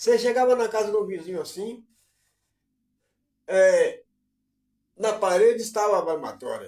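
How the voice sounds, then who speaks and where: Pausing long and often, a man speaks at a fairly slow pace with a high pitch and fairly even intonation. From Brazil, Bahia. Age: 60s. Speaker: online commentator, live streamer. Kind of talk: live stream monologue. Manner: casual, conversational.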